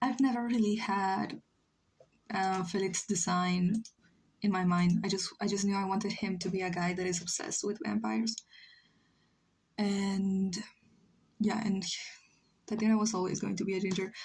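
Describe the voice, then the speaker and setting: A woman speaks at medium pitch, somewhat breathy, in fairly even intonation. Long pauses come often. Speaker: streamer drawing live. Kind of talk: casual chat. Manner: slow; halting.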